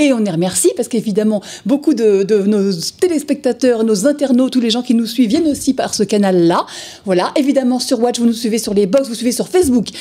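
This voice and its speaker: Speech comes at a very fast pace with lively intonation over noticeable background noise. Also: woman. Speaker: TV presenter of a comic book show. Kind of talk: live TV show presenting; interview. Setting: TV studio, live broadcast.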